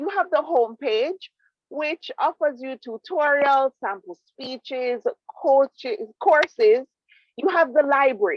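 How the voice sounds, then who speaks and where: A fairly slow, animated delivery in a Jamaican accent with very wide pitch swings. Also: woman, high pitch for a woman. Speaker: public speaking club presenter. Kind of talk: presentation.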